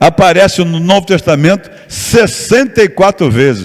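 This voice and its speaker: A man speaks at a fairly slow pace in a high-pitched voice with lively intonation. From Rio de Janeiro, Brazil. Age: 70s. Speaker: pastor and missionary. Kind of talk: sermon.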